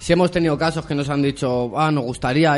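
Here is an unremarkable speaking voice, its intonation fairly even. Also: man. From Madrid, Spain (Vallecas). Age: 20s. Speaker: rap radio show host. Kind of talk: casual interview chat.

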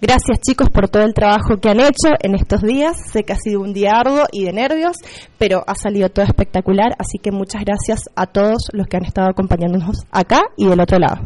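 At a fairly quick pace, this woman holds a medium pitch. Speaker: schoolteacher. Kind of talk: school radio presenting. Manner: hesitant with fillers. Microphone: microphone problem.

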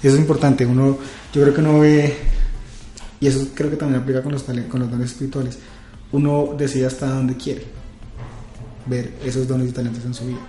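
Speech runs at a very fast pace in a monotone, flat intonation, broken by long, frequent pauses. Audible room echo surrounds it. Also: man, medium pitch for a man. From Colombia, Villavicencio. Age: 30s. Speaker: youth pastor. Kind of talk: casual chat. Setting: office.

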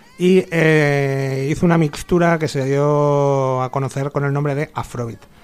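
Noticeable background noise runs under the speech. The intonation stays fairly even. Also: man, fairly high pitch for a man. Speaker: radio host. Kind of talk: casual chat. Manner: hesitant. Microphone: a bit far from the microphone.

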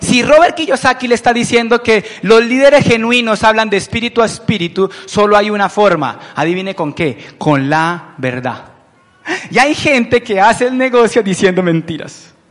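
This man has a high pitch, an animated tone and lively intonation at a moderate pace. Noticeable background noise can be heard. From Colombia, Palmira (Valle del Cauca). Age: 30s. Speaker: business owner presenting to recruits. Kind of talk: motivational business presentation. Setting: event with live audience.

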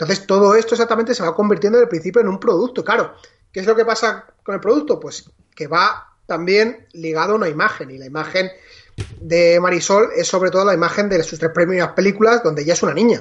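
Talking very fast, the man keeps a high pitch and varies it in an ordinary way. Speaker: film podcast co-host. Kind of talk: casual chat.

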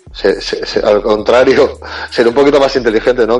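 Noticeable background noise fills the recording. Over it, a man speaks fairly quickly. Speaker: podcast co-host. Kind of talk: casual chat.

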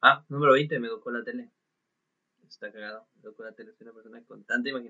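With a Mexican accent, a man speaks at a very fast pace. His loudness swings widely. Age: 20s. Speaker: podcaster. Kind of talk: casual monologue. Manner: halting.

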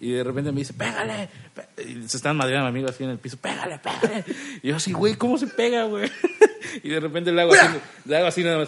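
A man with a fairly high voice talks very fast, his pitch swinging very widely. He leaves long, frequent pauses over noticeable background noise. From Cancún, Mexico. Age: 20s. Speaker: stand-up comedian. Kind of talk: casual chat.

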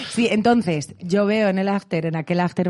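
A woman's ordinary speaking voice at a fairly quick pace. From Spain. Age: 30s. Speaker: singer and voice actress. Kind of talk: casual chat.

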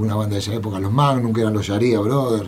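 The speaker is a man with a fairly low pitch. Audible room echo and noticeable background noise are present. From Buenos Aires, Argentina. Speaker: rock drummer. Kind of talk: interview.

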